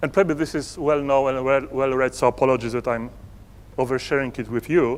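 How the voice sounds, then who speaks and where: This speaker has a Polish accent, a moderate pace and ordinary pitch variation. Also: man. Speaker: entrepreneur and conference speaker. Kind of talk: conference presentation. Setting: stage with audience. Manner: halting.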